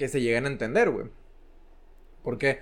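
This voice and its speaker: This man speaks with a Mexican accent and a fairly high pitch. His intonation stays fairly even. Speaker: podcast co-host. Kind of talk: casual chat.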